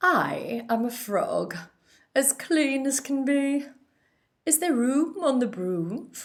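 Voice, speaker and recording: A female-sounding, croaky, put-on character voice, high in pitch, at a very slow pace with long, frequent pauses. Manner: polite.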